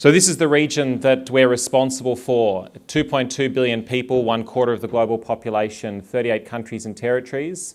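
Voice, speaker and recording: A man with an Australian accent talks at a fairly quick pace with hardly any pauses. His pitch is medium, with ordinary variation. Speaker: public health official. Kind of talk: conference talk.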